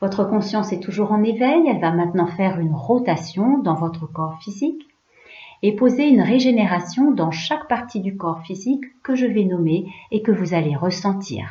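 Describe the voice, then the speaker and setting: With lively intonation, a woman speaks at a medium pitch in an unremarkable speaking voice. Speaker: yoga nidra guide. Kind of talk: guided relaxation / yoga nidra. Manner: calm, slow, soothing.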